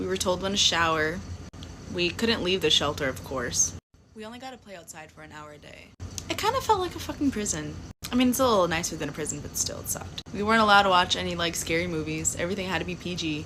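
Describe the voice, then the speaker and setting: Amid noticeable background noise, a woman speaks at a very fast pace with big swings in loudness. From Louisiana. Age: 20s. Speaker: social media storyteller. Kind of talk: personal storytelling to camera. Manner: casual, animated.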